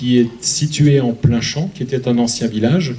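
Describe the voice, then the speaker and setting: The speaker has an Alsatian accent, a moderate pace and ordinary pitch variation. Audible room echo and noticeable background noise are present. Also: man. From Alsace, France. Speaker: museum curator. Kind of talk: public lecture.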